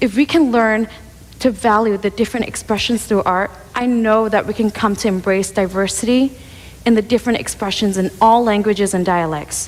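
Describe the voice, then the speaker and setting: Speaking at a fairly quick pace, a woman with a fairly high pitch keeps her intonation fairly even. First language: Cantonese. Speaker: speaker on multilingualism. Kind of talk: prepared speech.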